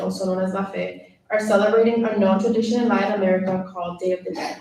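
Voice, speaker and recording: This woman speaks with a Spanish accent at a very fast pace. Her medium-pitched voice is monotone and flat, with audible room echo. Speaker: student government officer. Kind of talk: meeting report. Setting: meeting room, live streamed. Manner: reading prepared report.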